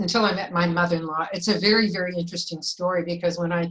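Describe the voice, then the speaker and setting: Very fast speech from a woman, medium in pitch, with ordinary pitch variation. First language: Yiddish. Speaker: filmmaker and former teacher. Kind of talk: panel discussion.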